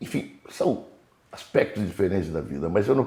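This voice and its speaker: At a moderate pace, a man speaks in a fairly low, dark and mellow voice. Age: 80s+. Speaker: writer and historian. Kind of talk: autobiographical interview. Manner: hesitant, repeating words.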